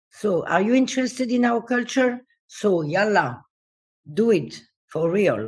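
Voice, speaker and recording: Fairly slow and somewhat breathy, a woman speaks in a fairly high pitch with lively intonation and very even loudness, leaving long, frequent pauses. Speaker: dancer and choreographer. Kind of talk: interview conversation.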